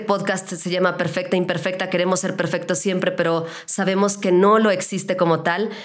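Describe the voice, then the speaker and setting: A woman with a Mexican accent at a moderate pace, with audible room echo. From Mexico, León, Guanajuato. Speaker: podcast host, radio announcer. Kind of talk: casual interview chat.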